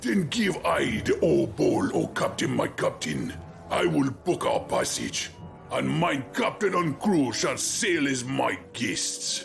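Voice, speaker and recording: A man's put-on character voice at a fairly slow pace, with clear music in the background. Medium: machinima. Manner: quirky ungrammatical phrasing.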